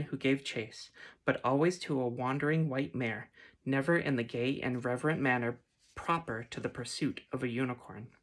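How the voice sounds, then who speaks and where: Quiet and gentle in tone, a woman with a very deep, low voice speaks at a moderate pace with ordinary pitch variation on a very clean recording with a silent background. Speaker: ASMR reader. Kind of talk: read story. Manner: gentle, quiet.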